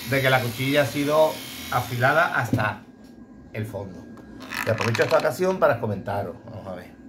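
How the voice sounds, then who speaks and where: Noticeable background noise accompanies a man who talks at a fairly quick pace with long, frequent pauses, lively intonation and big swings in loudness. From Andalusia, Bay of Cádiz. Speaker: blade sharpener for dog grooming clippers. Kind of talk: casual tutorial video. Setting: workshop. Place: workshop. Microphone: phone near.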